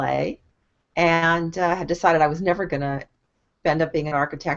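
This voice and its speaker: A woman's fairly low voice with a Californian accent. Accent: Californian American. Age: 60s. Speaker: online marketing coach. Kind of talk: casual live stream talk. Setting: video call live stream.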